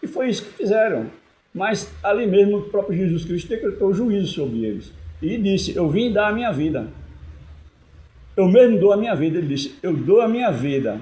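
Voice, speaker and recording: Amid audible room echo, a man with a high pitch and a dark, mellow tone speaks with lively intonation and long, frequent pauses. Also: moderate pace. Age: 70s. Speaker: lay preacher. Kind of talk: sermon. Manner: halting.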